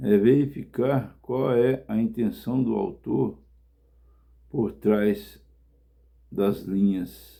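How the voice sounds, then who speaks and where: A man of medium pitch speaks at a very slow pace with long, frequent pauses, vocal fry and lively intonation. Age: 60s. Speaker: evangelist preacher. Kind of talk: sermon.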